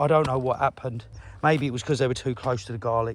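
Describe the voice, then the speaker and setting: A man talks with an English accent. His pitch variation is ordinary. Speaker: allotment gardener vlogger. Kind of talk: casual video walkthrough. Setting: outdoors. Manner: animated.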